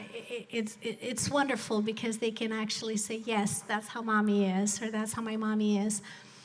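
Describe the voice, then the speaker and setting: In a Spanish accent, a woman speaks at a fairly high pitch with monotone, flat intonation. Audible room echo surrounds her voice. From Colombia (Bogota), moved to US at 12. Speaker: business executive and motivational speaker. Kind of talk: motivational speech. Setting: stage with live audience, streamed.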